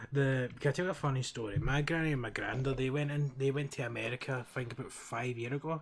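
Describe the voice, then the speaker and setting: Speaking at a very fast pace, a man keeps his intonation fairly even while noticeable background noise carries on behind him. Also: medium pitch for a man, hardly any pauses. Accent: Glaswegian. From Scotland, Glasgow. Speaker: streamer, Minecraft roleplay server player. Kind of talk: casual chat while gaming, telling a story.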